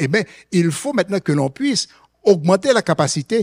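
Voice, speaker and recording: Very wide pitch swings come through on a very clean recording with a silent background. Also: man. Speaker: economist, conference panelist. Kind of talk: conference presentation. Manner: hesitant, many fillers and repetitions.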